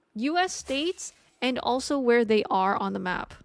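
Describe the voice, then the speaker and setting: A woman at a fairly slow pace with a slight Canadian accent, on a very clean recording with a silent background. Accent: mild Canadian. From Canada, Ontario (near New York). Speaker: streamer. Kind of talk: casual live-stream chat while gaming. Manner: animated.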